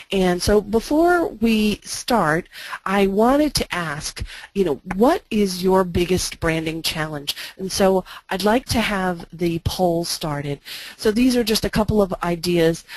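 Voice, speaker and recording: With a normal speaking voice, a woman of medium pitch talks at a fairly slow pace, her intonation lively. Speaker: branding consultant and presenter. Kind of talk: webinar presentation. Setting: online webinar.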